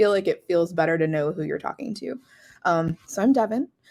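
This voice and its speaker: A woman with an American accent speaks at a very fast pace in a dark, mellow tone, fairly low in pitch with ordinary pitch variation. The recording is very clean with a silent background. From United States. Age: 30s. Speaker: instructional designer. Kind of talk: conference presentation.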